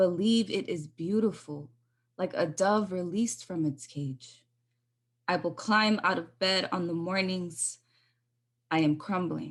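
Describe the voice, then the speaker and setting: With long, frequent pauses, a woman talks at a fairly slow pace and a medium pitch, with ordinary pitch variation, over a quiet background. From Los Angeles area, Salvadoran-American. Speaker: poet. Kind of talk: poetry performance.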